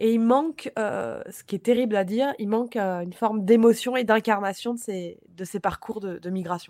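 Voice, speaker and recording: A woman with a fairly high pitch and a dark, mellow tone speaks at a moderate pace with ordinary pitch variation, big swings in loudness and hardly any pauses. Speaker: podcast panelist, film discussion. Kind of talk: casual film discussion.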